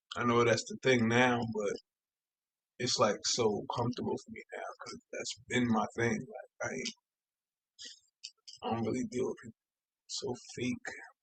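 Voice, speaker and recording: A man speaks with long, frequent pauses and big swings in loudness. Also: dry, close sound with no echo. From Long Island, New York (Suffolk County). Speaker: podcaster. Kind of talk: personal storytelling monologue. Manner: casual, halting.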